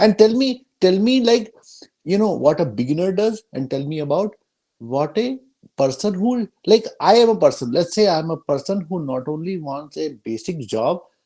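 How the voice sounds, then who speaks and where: With an Indian accent, the speaker talks at a moderate pace. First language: Hindi. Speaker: workshop moderator. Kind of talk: panel Q&A.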